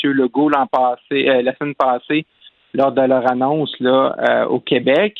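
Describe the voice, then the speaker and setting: Speaking with a Lac-Saint-Jean accent, a man talks at a fairly slow pace and medium pitch. His loudness stays very even and his intonation fairly even. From Quebec, Lac-Saint-Jean (Roberval). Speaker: political commentator. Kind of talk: political analysis.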